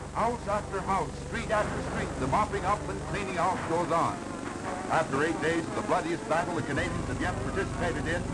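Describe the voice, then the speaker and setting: Speech at a fairly quick pace is heard through loud background noise. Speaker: newsreel narrator. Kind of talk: wartime newsreel narration. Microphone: old recording.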